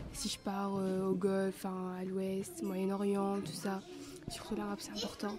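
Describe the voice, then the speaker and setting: The speaker has an Algerian accent and talks at a moderate pace. There is noticeable background noise. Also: woman. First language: Arabic (speaking French). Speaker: resident of a shelter, interviewee. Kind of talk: interview answers. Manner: hesitant, casual.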